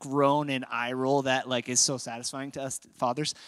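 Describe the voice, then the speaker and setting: A man with an American accent speaks at a fairly high pitch in a bright, sharp tone, on a very clean recording with a silent background. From Minnesota, Apple Valley. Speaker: pastor. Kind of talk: sermon. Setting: church.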